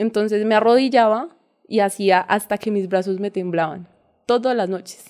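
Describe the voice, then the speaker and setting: Here a woman speaks with a fairly high pitch. Her pace is moderate, and her pitch variation is ordinary. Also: very clean recording, silent background. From Colombia, countryside near Ibagué, Tolima. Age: 20s. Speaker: parkour coach. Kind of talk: interview.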